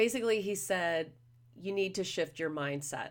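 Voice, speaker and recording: Lively intonation carries a woman's medium-pitched voice at a moderate pace on a very clean recording with a silent background. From California, Los Angeles / Orange County area. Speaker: podcast host and business founder. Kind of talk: casual monologue. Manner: chatty with many fillers.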